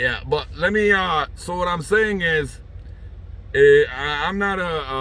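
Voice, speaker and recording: Noticeable background noise runs behind a man whose voice shows ordinary pitch variation. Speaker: online talk show host. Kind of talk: casual chat. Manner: halting, many fillers.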